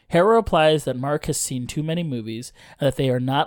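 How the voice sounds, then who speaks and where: A man talks at a fairly quick pace in an unremarkable speaking voice with ordinary pitch variation. The recording is very clean and the background silent. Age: 30s. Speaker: podcast host. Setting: home podcast studio, in person.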